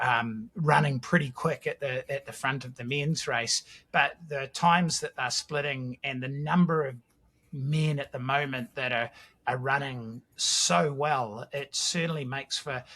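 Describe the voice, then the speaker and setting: A man with a New Zealand accent speaks at a fairly slow pace in a fairly high pitch, his tone bright and sharp and his intonation fairly even, on a very clean recording with a silent background. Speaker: podcast host. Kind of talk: casual chat.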